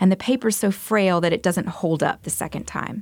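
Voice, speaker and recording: A woman's fairly low voice with vocal fry, in an American accent, at a fairly quick pace and with ordinary pitch variation. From US South, Montgomery, Alabama. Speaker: visual artist. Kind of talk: radio interview. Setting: radio studio.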